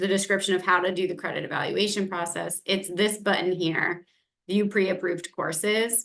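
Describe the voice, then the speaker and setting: Here is a woman with a plain, everyday voice. Her pitch is medium and her intonation fairly even. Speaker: global education manager. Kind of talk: online information session Q&A, screen-share walkthrough.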